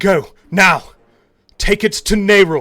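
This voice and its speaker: A booming, resonant put-on character voice at a middle pitch. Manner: commanding.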